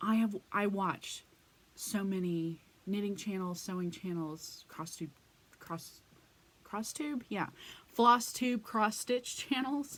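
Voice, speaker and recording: A woman with an American accent speaks at a very slow pace, with long, frequent pauses and lively intonation. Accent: occasional slow Texas drawl. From Texas. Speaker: crafting vlogger; craft channel vlogger. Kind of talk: casual vlog monologue; casual vlog chat. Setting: home crafting room. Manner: hesitant, many fillers. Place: home room. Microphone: phone near.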